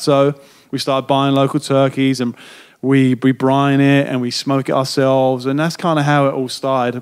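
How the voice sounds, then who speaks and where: On a very clean recording with a silent background, a man speaks at a fairly high pitch with an English accent. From London, England. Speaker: chef and restaurant owner. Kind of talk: podcast interview answer.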